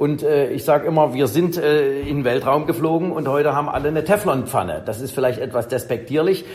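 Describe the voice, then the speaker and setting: A man with a fairly high pitch talks rather fast, while background noise is clearly audible. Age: 50s. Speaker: professor of electric transport systems. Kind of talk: interview.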